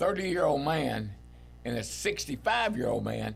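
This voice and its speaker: A man at a moderate pace, with music in the background and audible room echo. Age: 70s. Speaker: veteran angler. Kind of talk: casual interview chat.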